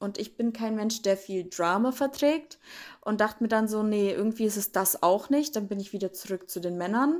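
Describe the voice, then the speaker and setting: A woman with an ordinary speaking voice, fairly high in pitch, at a moderate pace with ordinary pitch variation, on a very clean recording with a silent background. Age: 20s. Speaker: reality TV contestant. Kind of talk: interview.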